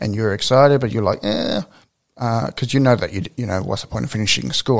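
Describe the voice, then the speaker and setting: A man's medium-pitched voice with an Australian accent, at a very fast pace. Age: 20s. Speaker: podcast host and professional wrestler. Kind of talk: casual interview.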